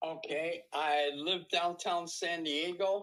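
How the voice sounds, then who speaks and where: A man at a very slow pace over a quiet background. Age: 80s+. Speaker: entrepreneur. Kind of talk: casual self-introduction. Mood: friendly, upbeat. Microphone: webcam.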